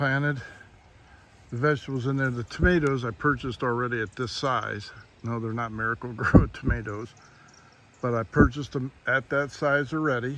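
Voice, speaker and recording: The speech moves at a moderate pace with fairly even intonation, broken by long, frequent pauses. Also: man, medium pitch for a man. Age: 60s. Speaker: homesteading and prepping channel host. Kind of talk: casual talk to camera.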